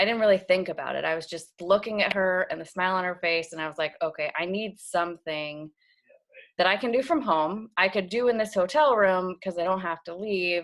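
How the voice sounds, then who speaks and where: A normal speaking voice from a woman at medium pitch, fairly quick in pace with ordinary pitch variation, on a very clean recording with a silent background. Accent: American. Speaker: health coach. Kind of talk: testimony.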